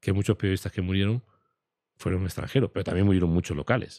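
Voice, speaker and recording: A man talks at a very fast pace in a very deep, low voice with a dark, mellow tone. The sound is dry and close, with no echo. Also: quiet background. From Spain. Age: 60s. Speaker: war photojournalist. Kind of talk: interview conversation.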